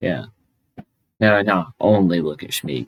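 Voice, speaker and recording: A man with a Southern US accent and vocal fry. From Memphis, US South. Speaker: podcast host. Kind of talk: casual podcast interview.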